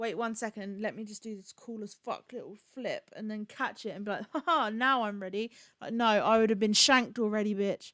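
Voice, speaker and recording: In a Bedfordshire accent, a woman with a fairly high voice talks at a fairly quick pace in an animated tone, with big swings in loudness and a dry, close sound with no echo. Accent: southern English, Luton. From England, Luton. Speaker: streamer. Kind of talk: casual chat.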